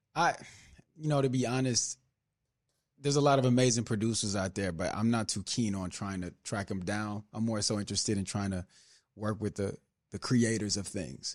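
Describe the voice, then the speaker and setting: A man speaks at a fairly quick pace with a fairly low pitch and ordinary pitch variation, leaving long, frequent pauses. The recording is very clean, with a silent background. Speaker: actor and singer. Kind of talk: casual interview chat.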